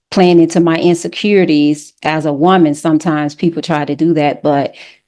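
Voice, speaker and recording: Dark, mellow tone in a Southern US accent, moderate pace, flat monotone intonation, quiet background. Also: woman. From US South, Alabama. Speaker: panelist. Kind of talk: panel discussion.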